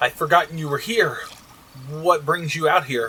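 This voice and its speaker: Using a put-on character voice, a man speaks with a nervous tone at a moderate pace. His pitch is fairly high and varies in an ordinary way. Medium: read story. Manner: nervous, flustered.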